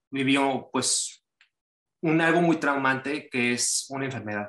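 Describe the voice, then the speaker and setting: A man's fairly high pitch at a very slow pace, with ordinary pitch variation. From Mexico, Cancún. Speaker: writer. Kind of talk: casual chat.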